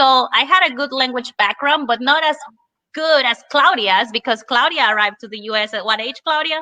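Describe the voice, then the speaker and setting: A woman uses a raised, projected voice with a high pitch and a bright, sharp tone. Her moderate pace and ordinary pitch variation come through a dry, close sound with no echo. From Spanish-speaking country, moved to US at eleven. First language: Spanish. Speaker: Spanish teacher. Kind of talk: casual webinar discussion.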